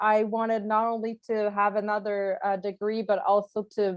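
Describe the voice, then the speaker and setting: A woman speaks with a Quebec accent. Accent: French Canadian accent in English. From Quebec, Canada. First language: French. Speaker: journalist, alumni panelist. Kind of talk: panel discussion. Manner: halting.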